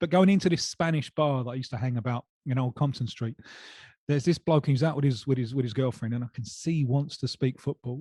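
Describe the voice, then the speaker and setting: Speaking at a very fast pace, a man has a medium-pitched, dark, mellow tone that is somewhat breathy, with ordinary pitch variation and a dry, close sound with no echo. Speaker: football journalist. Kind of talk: casual chat, personal anecdote.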